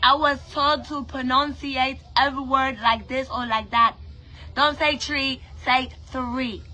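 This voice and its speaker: With music in the background, a woman with an American accent and a high pitch talks at a fairly slow pace in monotone, flat intonation. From Brooklyn, New York. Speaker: musician and online personality. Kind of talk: emotional rant to camera.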